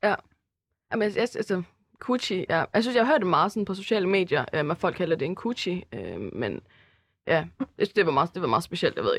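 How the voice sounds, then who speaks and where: A woman with vocal fry speaks very fast in a medium pitch, her intonation lively and broken by long, frequent pauses. The sound is dry and close with no echo, over a quiet background. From Denmark, Herning (Jutland). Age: 20s. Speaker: university student. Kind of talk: casual chat. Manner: hesitant, many fillers.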